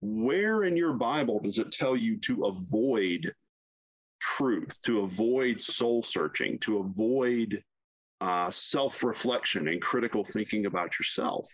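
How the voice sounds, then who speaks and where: With a Southern US accent, the speaker talks at a fairly slow pace with lively intonation. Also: man, medium pitch for a man. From US South, South Carolina. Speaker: university chaplain. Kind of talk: casual interview.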